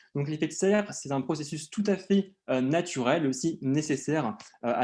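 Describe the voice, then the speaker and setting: A man speaks against a quiet background. His tone is dark and mellow. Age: 20s. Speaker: PhD student in geology, conference speaker. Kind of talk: conference presentation. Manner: hesitant, many filler sounds.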